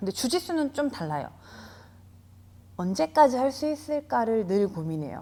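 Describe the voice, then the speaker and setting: A woman's voice has a dark, mellow tone. Her pitch swings very widely. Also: very clean recording, silent background. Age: 40s. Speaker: jiu-jitsu gym owner. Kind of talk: interview answer.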